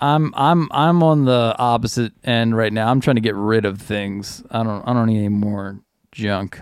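With a medium pitch and ordinary pitch variation, the man's delivery moves at a moderate pace. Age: 30s. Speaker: podcast host, bass player. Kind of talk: casual chat. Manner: halting, repeats words.

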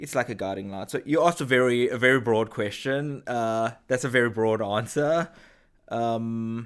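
On a very clean recording with a silent background, a man with a slight South African accent talks fairly slowly at a medium pitch and with fairly even intonation. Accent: subtle South African. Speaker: head of brand marketing. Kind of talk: interview. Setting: studio.

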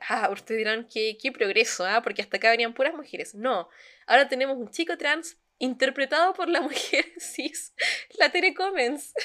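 In a Chilean accent, a woman speaks in a raised, projected voice at a high pitch and a moderate pace, her tone bright and sharp and her pitch swinging very widely. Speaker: podcast co-host. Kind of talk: casual chat.

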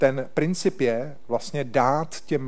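With audible room echo around him, a man speaks at a very slow pace and a fairly high pitch. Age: old. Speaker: government envoy for Holocaust issues. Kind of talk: panel discussion with presentation. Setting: hall with live audience, streamed online.

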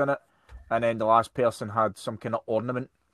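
Fairly quick speech in a Scottish accent with monotone, flat intonation and a dry, close sound with no echo. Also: man. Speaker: podcast host. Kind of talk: casual chat.

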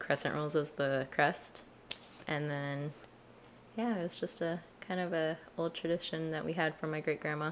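A woman with an American accent speaks in a very deep, low pitch and fairly even intonation, leaving long, frequent pauses. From Colorado. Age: 20s. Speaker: university student. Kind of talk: casual chat.

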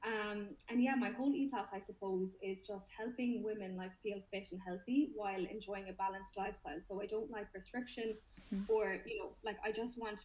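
Speaking fairly quickly in a Limerick accent, a woman has a somewhat breathy voice at medium pitch with ordinary pitch variation. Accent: Irish, Limerick. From Limerick, Ireland. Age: 20s. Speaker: personal trainer and fitness influencer. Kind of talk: casual interview chat.

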